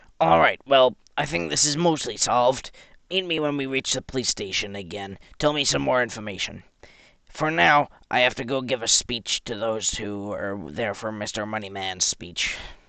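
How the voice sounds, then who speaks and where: This raspy, put-on character voice moves at a moderate pace. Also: man, medium pitch for a man. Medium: machinima. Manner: formal, authoritative.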